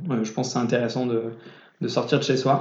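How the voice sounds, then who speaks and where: Speaking at a medium pitch in a monotone, flat intonation, a man is heard with audible room echo. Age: 20s. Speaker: young entrepreneur, startup founder. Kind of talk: casual interview. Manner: halting, frequent repetitions.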